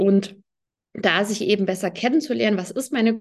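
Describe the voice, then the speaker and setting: A woman talks at a moderate pace, her fairly high voice showing ordinary pitch variation. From Hesse, near Fulda. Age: 30s. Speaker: yoga teacher and Ayurveda health advisor. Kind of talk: interview. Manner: hesitant, many filler sounds.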